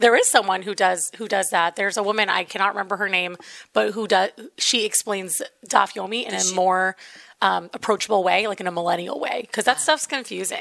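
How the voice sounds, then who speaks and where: Very fast talk from a woman at medium pitch, bright and sharp in tone, with vocal fry and fairly even intonation. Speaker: food video creator. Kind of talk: casual chat.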